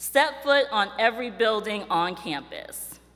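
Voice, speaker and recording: The speaker is a woman. Her tone comes across bright and sharp. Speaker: university staff speaker. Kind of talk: ceremony address. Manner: animated; fast.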